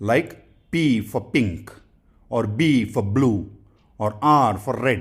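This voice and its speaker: His voice is somewhat breathy. The man speaks at a very slow pace. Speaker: English pronunciation teacher. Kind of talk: tutorial. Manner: slow, deliberate with repetitions.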